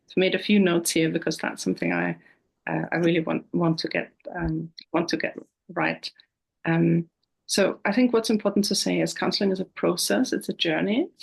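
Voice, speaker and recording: A woman speaks with an Austrian accent. Her pace is fairly quick. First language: German. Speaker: counsellor. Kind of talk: interview. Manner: hesitant, with frequent repetitions.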